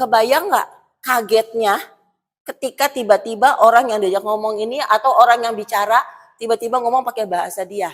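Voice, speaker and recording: With ordinary pitch variation, a woman talks at a fairly high pitch. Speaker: pastor. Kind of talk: sermon. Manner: animated, colloquial.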